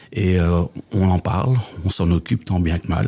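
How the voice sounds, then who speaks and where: A man's very deep, low voice, dark and mellow and somewhat breathy, with a Belgian accent. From Belgium, Flemish Brabant. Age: 60s. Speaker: business coach and trainer. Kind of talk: podcast interview.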